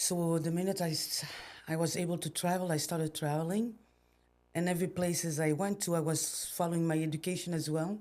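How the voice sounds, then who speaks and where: A woman's fairly low, dark, mellow voice in a French accent, monotone and flat, at a fairly quick pace. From Belgium. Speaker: entrepreneur. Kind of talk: podcast interview. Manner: halting.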